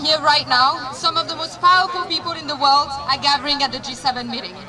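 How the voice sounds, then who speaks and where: A woman's raised, projected voice in a French accent, high-pitched with ordinary pitch variation, over noticeable background noise. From France. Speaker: activist, rally speaker. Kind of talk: rally speech. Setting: outdoors at a rally.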